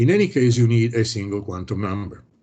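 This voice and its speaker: A man's very fast, somewhat breathy delivery with a dark, mellow tone and fairly even intonation. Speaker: professor. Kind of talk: lecture. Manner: hesitant, many fillers.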